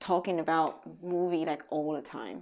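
A fairly slow voice with a Taiwanese accent on a very clean recording with a silent background. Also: woman. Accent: Taiwanese Mandarin accent in English. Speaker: film composer and cellist. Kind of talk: casual chat.

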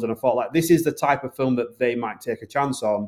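A man with a Northern English accent at a very fast pace, on a very clean recording with a silent background. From Bradford, Yorkshire, northern England. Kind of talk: interview.

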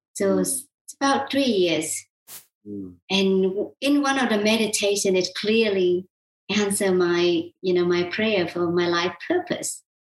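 A woman speaks in a Vietnamese accent at a medium pitch. Her pace is fairly slow, with ordinary pitch variation. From South Vietnam. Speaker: qigong healer. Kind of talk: interview.

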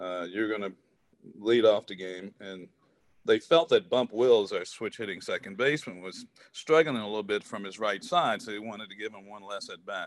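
A man with an American accent speaks at a moderate pace in an unremarkable speaking voice, fairly low in pitch with ordinary pitch variation. His loudness swings widely, and the sound is dry and close with no echo. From US South (Southwest Virginia). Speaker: former professional baseball player. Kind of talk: casual interview.

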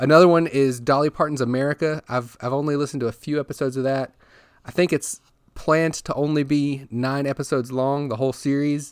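A man talks at a very fast pace in a flat monotone, the sound dry and close with no echo on a very clean recording against a silent background. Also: fairly high pitch for a man. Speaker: podcast host. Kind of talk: solo podcast monologue about Tesla news. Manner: informal, hesitant, self-correcting with fillers.

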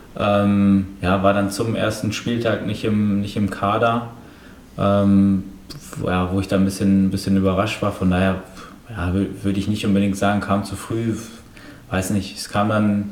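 A man speaks at a fairly slow pace with a fairly low pitch and monotone, flat intonation, over noticeable background noise and audible room echo. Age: 20s. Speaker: professional footballer. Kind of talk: interview.

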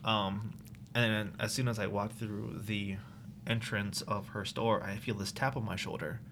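A man with an American accent speaks at a fairly low pitch and a moderate pace, his intonation fairly even, with audible room echo. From Maryland, US. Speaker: personal trainer. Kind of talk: casual chat.

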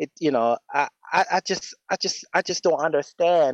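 A man with an American accent at a fairly high pitch with lively intonation, in a dry, close sound with no echo. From Jamaica and US. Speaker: caller. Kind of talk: phone-in conversation. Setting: call-in over voice chat. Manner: energetic.

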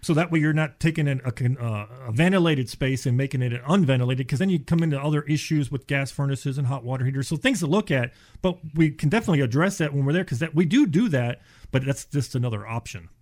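A man speaks at a very fast pace in a fairly high voice, a bit breathy, with ordinary pitch variation. The recording is very clean, with a silent background. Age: 50s. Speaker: insulation contractor. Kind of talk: casual chat.

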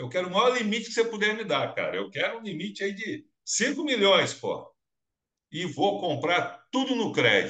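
A man with a high, bright and sharp voice projects it loudly at a moderate pace. His tone is animated and his intonation lively. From Minas Gerais, Brazil. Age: 50s. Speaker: business show host. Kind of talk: interview.

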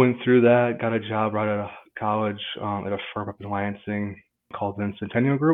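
A man with an American accent and a normal speaking voice, fairly low-pitched, at a fairly quick pace with fairly even intonation. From Michigan, Marshall. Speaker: insurance agent. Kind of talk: interview.

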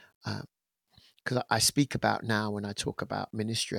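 Soft-spoken, a man comes through in a very clean recording with a silent background and a dry, close sound without echo. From England, Essex/London, Caribbean parents. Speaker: gospel musician and worship leader. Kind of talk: interview. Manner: hesitant, many fillers.

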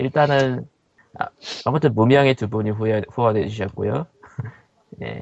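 A man talks at a moderate pace in a medium pitch with ordinary pitch variation. Long, frequent pauses break up his speech. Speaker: podcast co-host. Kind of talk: casual chat.

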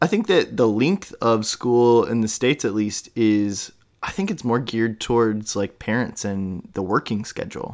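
An ordinary speaking voice from a man at medium pitch, moderate in pace with ordinary pitch variation and hardly any pauses, on a very clean recording with a silent background. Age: 30s. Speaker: podcast host. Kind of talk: casual interview chat.

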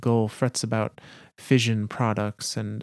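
Here, someone reads aloud in a natural voice. Nothing about that natural reading changes.

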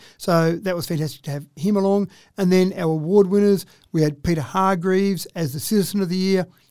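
The speaker talks with an Australian accent. The pace is fairly quick. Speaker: mayor. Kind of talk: casual interview.

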